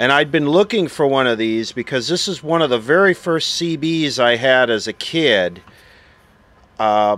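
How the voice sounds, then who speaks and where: A man at a moderate pace, ordinary pitch variation, dry sound with no echo. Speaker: vintage radio collector. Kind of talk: casual show-and-tell narration. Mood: nostalgic, relaxed. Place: open country.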